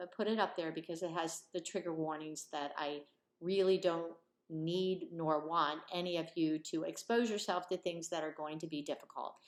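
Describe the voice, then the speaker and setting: Her pitch fairly low, this woman keeps to a moderate pace. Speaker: criminal law professor. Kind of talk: online course introduction. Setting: recorded video lecture. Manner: energetic.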